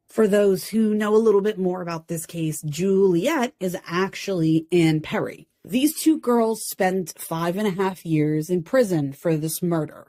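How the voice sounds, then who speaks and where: With a New Jersey accent and a dark, mellow tone, this voice moves at a fairly slow pace with hardly any pauses. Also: woman, medium pitch for a woman, ordinary pitch variation. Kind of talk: true crime commentary. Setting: home recording, poor audio. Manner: ranting, animated.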